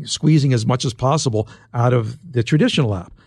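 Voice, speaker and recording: Against a quiet background, a man with an American accent talks at a fairly quick pace in a dark, mellow tone, medium in pitch and somewhat breathy. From US Northeast, Philadelphia. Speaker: tech journalist and author. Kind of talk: interview.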